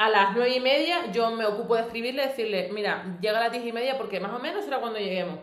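A woman talks at a very fast pace in a fairly high pitch. The room echo is audible, and there is noticeable background noise. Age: 20s. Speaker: podcast co-host. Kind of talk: casual chat.

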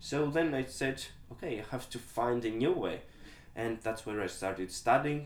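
A man speaks with a Greek accent. His pace is moderate. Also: medium pitch for a man, ordinary pitch variation. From Greece. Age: 20s. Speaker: dog trainer. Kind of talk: interview.

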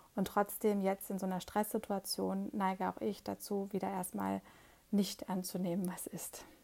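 At medium pitch and a moderate pace, a woman speaks in a dark, mellow tone with fairly even intonation. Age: 40s. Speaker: podcast host. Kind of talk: solo podcast monologue. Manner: hesitant, many filler sounds.

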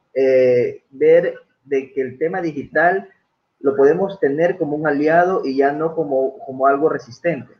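With an unremarkable speaking voice, a man talks at a fairly slow pace in a fairly high pitch. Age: 30s. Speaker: live stream talk show host. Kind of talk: casual interview. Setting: live stream video call.

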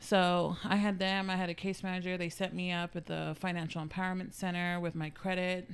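A woman with an American accent talks at a fairly quick pace with hardly any pauses, in a flat, monotone, medium-pitched voice, in a very clean recording with a silent background. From San Antonio, Texas. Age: 30s. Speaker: guest sharing life story. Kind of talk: casual interview.

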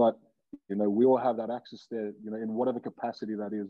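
With an Australian accent, a man speaks at a fairly quick pace in a fairly low pitch. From Australia, Wollongong. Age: 20s. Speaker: professional rugby player. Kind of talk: casual chat.

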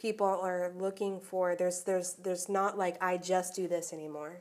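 With an American accent, a woman speaks at a moderate pace with a fairly low pitch. Her intonation is monotone and flat. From Orlando, Florida. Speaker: school fine arts director. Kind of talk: interview.

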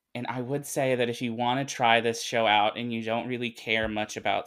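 This man has an unremarkable speaking voice with an American accent, a medium pitch, fairly even intonation and a fairly quick pace. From US South, Arkansas. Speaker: anime fan guest. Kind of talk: casual chat.

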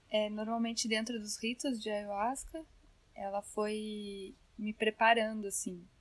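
In a plain, everyday voice, a woman speaks at a fairly slow pace with a fairly high pitch and fairly even intonation. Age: 20s. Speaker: new mother sharing birth story. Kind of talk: casual interview.

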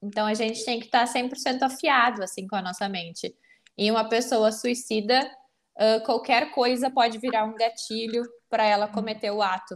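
Fairly even intonation and a moderate pace from a woman with a fairly high pitch and a plain, everyday voice. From southern Brazil, Porto Alegre. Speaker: psychologist. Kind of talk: interview.

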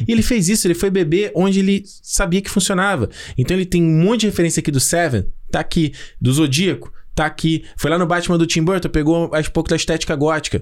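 A man talks at a very fast pace with a high pitch. His loudness stays very even, with ordinary pitch variation. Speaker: film podcast host. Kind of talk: casual chat.

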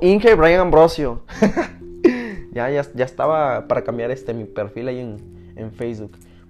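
With lively intonation, a man at a fairly high pitch talks at a moderate pace. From Mexico, Morelos. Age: 20s. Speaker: podcaster. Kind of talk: casual monologue. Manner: informal, slangy.

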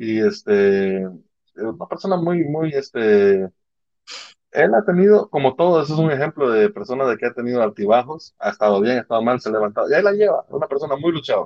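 A man talks at a fairly quick pace. His fairly high voice swings very widely in pitch. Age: 30s. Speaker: podcast co-host. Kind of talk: casual chat.

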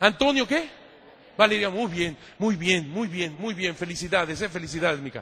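This man's tone is animated. He talks at a moderate pace. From Mexico. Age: 50s. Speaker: priest and church historian. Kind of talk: lecture.

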